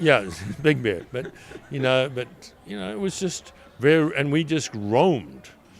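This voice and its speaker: A man at a medium pitch speaks at a fairly slow pace with lively intonation and long, frequent pauses. Noticeable background noise runs under his voice. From South Africa, rural then Durban. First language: Zulu. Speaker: restaurant owner. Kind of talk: casual interview chat. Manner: halting, filler-heavy.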